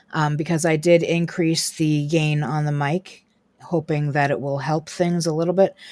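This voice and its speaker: Fairly even intonation at a moderate pace. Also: woman. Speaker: gaming streamer. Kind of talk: live gameplay commentary. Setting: live stream at home. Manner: loud; softer, lowered voice after start.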